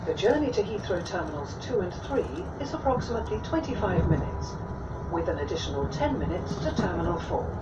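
Speech comes at a very fast pace over loud background noise. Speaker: automated train announcer. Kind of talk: recorded public announcement. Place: train.

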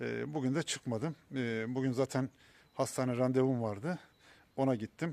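He speaks at a moderate pace, a man of medium pitch with fairly even intonation. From Ordu, Turkey. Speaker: cancer patient vlogger. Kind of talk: vlog monologue. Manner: halting, many fillers.

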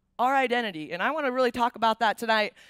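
A woman's bright, sharp tone, dry sound with no echo, quiet background. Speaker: speaker. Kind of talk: sermon. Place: stage. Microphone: headset.

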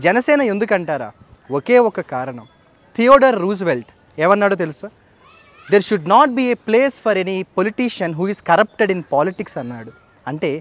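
A man speaks at a high pitch with very wide pitch swings and big swings in loudness. The sound is dry, with no echo. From Andhra Pradesh, Kakinada; Andhra Pradesh. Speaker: English professor and political party worker; English professor. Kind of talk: political speech to camera. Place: garden. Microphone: phone near.

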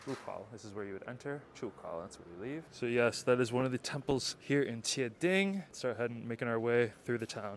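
A man's very fast, upbeat delivery with ordinary pitch variation, dry sound with no echo and light background noise. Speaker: travel vlogger. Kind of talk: travel vlog narration. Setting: outdoors. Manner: quieter in residential areas; casual, upbeat. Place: street. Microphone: lapel.

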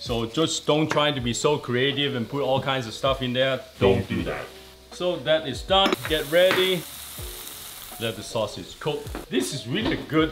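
Faint background music under a man speaking at a moderate pace. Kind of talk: tutorial. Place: kitchen.

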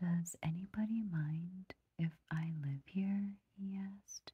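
Soft-spoken voice at a very slow pace, with light background noise. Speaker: storybook reader. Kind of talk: read-aloud storytelling. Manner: soft, hushed bedtime reading voice. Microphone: phone near.

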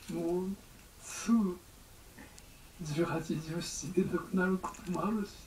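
A man's high-pitched voice comes through noticeable background noise. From Japan. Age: 80s+. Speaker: Zen abbot. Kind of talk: dharma talk. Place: church. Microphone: camera far.

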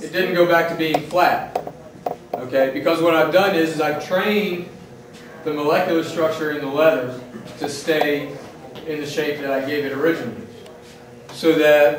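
The speech moves at a moderate pace with fairly even intonation and long, frequent pauses, set against audible room echo and noticeable background noise. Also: man. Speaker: leatherworking instructor. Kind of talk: demonstration talk to a class. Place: workshop. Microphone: camera far.

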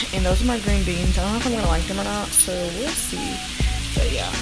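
A woman talks at a very fast pace. Clear music is heard in the background. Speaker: college student vlogger. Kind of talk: casual vlog chat. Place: kitchen. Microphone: phone near.

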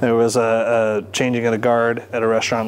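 There is light background noise as a man with an American accent talks at a medium pitch and a fairly quick pace. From California. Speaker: sommelier. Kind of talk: interview. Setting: wine bar or shop. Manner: casual. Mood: relaxed, conversational. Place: shop.

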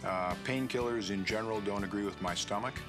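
Music plays in the background. A man talks at a fairly quick pace in a fairly low pitch. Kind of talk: testimonial interview answer. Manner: casual, hesitant.

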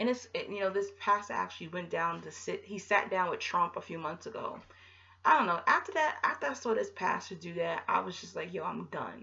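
A woman talks at a fairly quick pace, with big swings in loudness. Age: 30s. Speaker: YouTuber on narcissistic abuse; vlogger. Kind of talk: casual vlog monologue. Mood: earnest, opinionated. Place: home room. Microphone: webcam.

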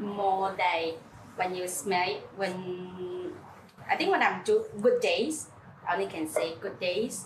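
A woman at a very slow pace, with audible room echo and light background noise. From Singapore. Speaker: home coffee brewer. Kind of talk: casual chat. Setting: at home. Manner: halting. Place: kitchen.

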